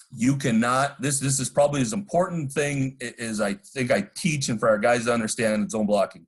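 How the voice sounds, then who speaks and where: Medium-pitched, somewhat breathy man talking at a fairly quick pace with lively intonation and hardly any pauses. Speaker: football coach. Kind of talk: coaching clinic presentation.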